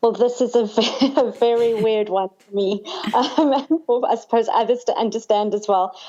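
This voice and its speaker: A woman speaks with a South African accent at a fairly high pitch. Her pace is moderate and her intonation fairly even. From South Africa, Cape Town. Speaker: sangoma, spiritual healer. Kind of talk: podcast interview.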